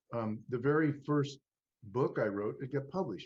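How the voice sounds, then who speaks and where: At a fairly slow pace, this man's voice sounds somewhat breathy. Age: 70s. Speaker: author and podcast host. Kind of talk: casual chat. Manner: halting, many restarts.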